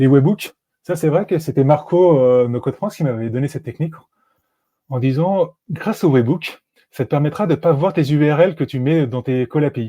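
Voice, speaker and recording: Against a quiet background, a man's fairly high voice carries a dark, mellow tone. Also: ordinary pitch variation. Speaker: no-code automation consultant; guest. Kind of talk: live-streamed software tutorial. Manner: fast; hesitant, many fillers. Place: home room. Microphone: earbuds.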